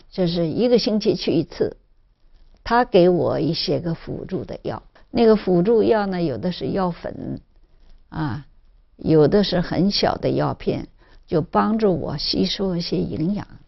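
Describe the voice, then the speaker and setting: Speaking at a fairly slow pace, a woman has a fairly low pitch, vocal fry and lively intonation. Her loudness swings widely. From Zhejiang, China. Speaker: cancer survivor. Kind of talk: interview testimony. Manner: halting, many fillers.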